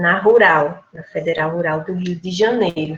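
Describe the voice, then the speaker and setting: A woman with a northeastern Brazilian accent speaks at a fairly slow pace and medium pitch. Her intonation is fairly even, and there is audible room echo. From Rio Grande do Norte, Brazil. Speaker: history professor presenting her thesis. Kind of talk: academic lecture.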